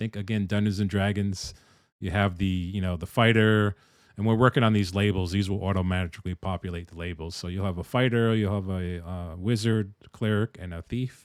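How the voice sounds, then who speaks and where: A fairly low male voice at a fairly quick pace, very clean recording with a silent background. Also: fairly even intonation. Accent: East Coast US. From US East Coast. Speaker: game dev streamer. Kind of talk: live stream chat and tutorial. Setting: live stream. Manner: casual, conversational.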